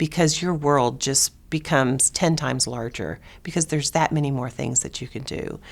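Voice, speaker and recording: On a very clean recording with a silent background, a woman with a very deep, low pitch and vocal fry speaks at a moderate pace with ordinary pitch variation. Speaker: nursing educator, founding dean of a college of nursing. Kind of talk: oral history interview answer. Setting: interview recording.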